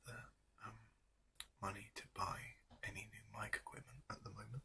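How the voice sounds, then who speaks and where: Whispering and soft-spoken, a man talks at a moderate pace in a gentle tone. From England. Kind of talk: ASMR show and tell. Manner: soft-spoken, whispery, gentle.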